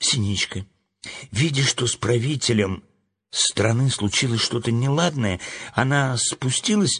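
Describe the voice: Plain reading aloud comes with ordinary pitch variation against a quiet background.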